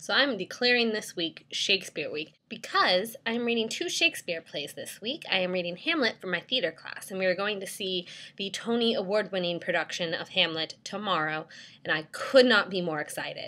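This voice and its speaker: With lively intonation, a woman talks in a medium-pitched voice. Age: 19, about to turn 20. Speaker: student vlogger. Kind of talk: casual vlog. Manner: fast.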